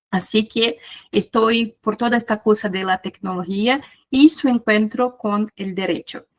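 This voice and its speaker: Someone speaks with a Brazilian accent at a fairly slow pace, using ordinary pitch variation. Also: woman, fairly high pitch for a woman, dry, close sound with no echo. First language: Portuguese (speaking Spanish). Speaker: researcher and conference speaker. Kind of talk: lecture.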